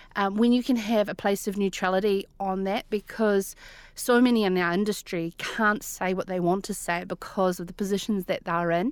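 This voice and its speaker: Spoken at a moderate pace with a New Zealand accent, the voice keeps a fairly even intonation. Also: woman, medium pitch for a woman. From New Zealand, Central Otago. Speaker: rural broadcaster and media business owner. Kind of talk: interview. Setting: remote call.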